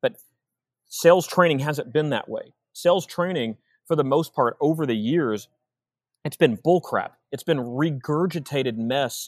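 In a Texan accent, a man talks at a moderate pace and a fairly high pitch, with long, frequent pauses. The sound is dry and close, with no echo. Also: ordinary pitch variation. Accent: Texan American English. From Texas, Austin. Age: 40s. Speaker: sales coach. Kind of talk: casual chat. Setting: video call.

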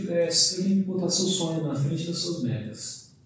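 A man's high voice at a fairly slow pace, with ordinary pitch variation and noticeable background noise. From São Paulo city, Brazil. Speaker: livestock consultant. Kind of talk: casual interview.

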